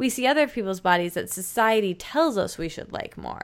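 Very wide pitch swings from a woman with an American accent. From Michigan. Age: 20s. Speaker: podcaster and author. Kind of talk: casual interview.

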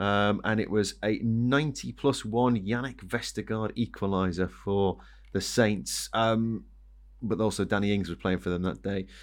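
A man's normal speaking voice, fairly low in pitch, at a moderate pace with ordinary pitch variation. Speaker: podcast host. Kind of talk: sports betting preview discussion.

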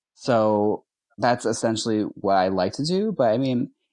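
A man with an unremarkable speaking voice, fairly low pitch and a moderate pace, against a quiet background. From US Midwest, Milwaukee, Wisconsin. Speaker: drag queen. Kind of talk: casual interview.

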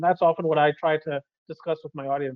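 A man rattles off his words at a very fast pace. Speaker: economist. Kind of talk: interview. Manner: animated.

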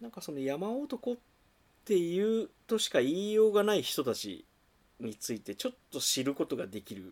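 A man is speaking. His pitch swings very widely. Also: very clean recording, silent background. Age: 40s. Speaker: bookstore owner and podcast co-host. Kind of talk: casual chat.

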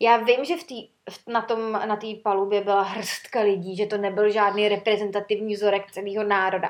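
With an ordinary speaking voice, a woman talks at a moderate pace and medium pitch, keeping her intonation fairly even, her loudness swinging widely, and hardly any pauses. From Czechia, Sokolov. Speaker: podcast host, former flight attendant. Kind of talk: casual chat.

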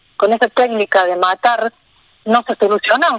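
An ordinary speaking voice from a woman, fairly high in pitch with ordinary variation, at a moderate pace and in a dry, close sound with no echo. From Argentina, Río Tercero, Córdoba. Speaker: wildlife foundation president. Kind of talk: radio interview.

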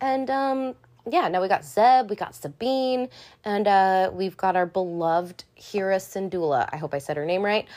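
On a very clean recording with a silent background, a woman of medium pitch speaks at a moderate pace with lively intonation. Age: 30s. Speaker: podcast host. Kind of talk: casual solo recap. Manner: many fillers and hesitations.

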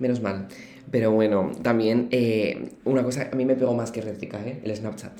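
A man talks at a moderate pace and a medium pitch, in a monotone, flat delivery. Audible room echo surrounds his voice. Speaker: podcast co-host. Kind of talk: casual chat. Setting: university room.

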